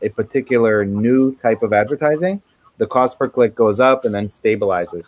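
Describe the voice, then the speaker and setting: Here a man speaks in an ordinary speaking voice at a moderate pace with ordinary pitch variation and a dry, close sound with no echo. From USA, moved from Israel at six. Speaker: Amazon marketing expert. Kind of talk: webinar presentation. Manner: many fillers (um, uh).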